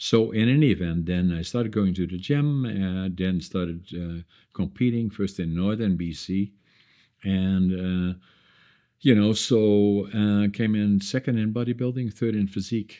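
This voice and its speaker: Speaking fairly slowly with a Dutch accent, the man has a fairly low pitch. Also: ordinary pitch variation. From northeastern Netherlands. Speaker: entrepreneur. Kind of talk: casual chat. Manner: halting.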